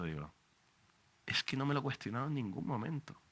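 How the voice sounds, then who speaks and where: In a Canarian accent, the speaker races along at a very fast pace with a bright, sharp tone, vocal fry and very wide pitch swings, on a very clean recording with a silent background. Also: man. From Canary Islands. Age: 40s. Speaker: radio journalist. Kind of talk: book presentation talk. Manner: animated.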